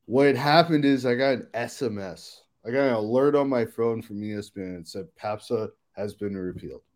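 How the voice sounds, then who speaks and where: This man has a plain, everyday voice, medium in pitch, with ordinary pitch variation. He speaks at a moderate pace, and his loudness swings widely. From Silver Spring, Maryland, US. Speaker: marketing agency co-founder. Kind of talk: casual interview. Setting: hotel room, remote.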